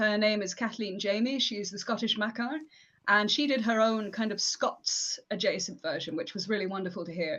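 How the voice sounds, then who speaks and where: In a West Yorkshire accent, a woman speaks at a moderate pace with a fairly high pitch. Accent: mild West Yorkshire English. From northern England, West Yorkshire. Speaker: academic and performance poet. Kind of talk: live stream interview. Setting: live stream.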